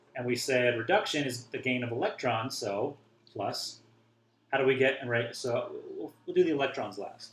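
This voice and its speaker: A man with a somewhat breathy voice talks at a moderate pace, with audible echo from the room. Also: medium pitch for a man, ordinary pitch variation. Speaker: chemistry teacher. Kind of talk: lecture.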